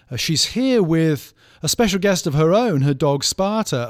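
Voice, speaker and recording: With a British accent, a man speaks at a moderate pace and lively intonation in a very clean recording with a silent background. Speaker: professor of church history and pastor. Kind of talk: casual chat.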